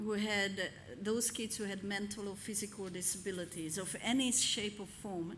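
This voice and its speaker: A woman with a non-native accent at medium pitch and a fairly slow pace, amid audible room echo. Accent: foreign. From Hungary. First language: Hungarian. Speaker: pastor. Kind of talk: sermon. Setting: church.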